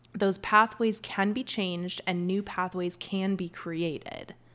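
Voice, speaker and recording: Medium-pitched woman's voice on a very clean recording with a silent background. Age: 40s. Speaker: health coach. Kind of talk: casual solo podcast monologue.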